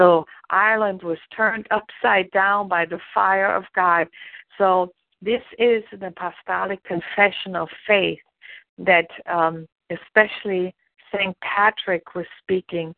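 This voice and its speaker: Speaking at a very slow pace, a woman with a German accent keeps her intonation fairly even. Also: medium pitch for a woman. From Germany. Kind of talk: devotional teaching.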